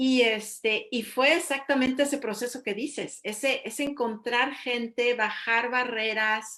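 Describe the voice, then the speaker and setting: The delivery is fairly slow, with hardly any pauses. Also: woman, high pitch for a woman, fairly even intonation. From Mexico. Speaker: interviewer. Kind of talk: interview.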